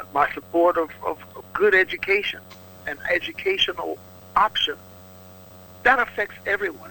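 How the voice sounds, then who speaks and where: A man talks at a moderate speed while noticeable background noise runs underneath. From Louisiana. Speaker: politician. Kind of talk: radio interview. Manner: animated.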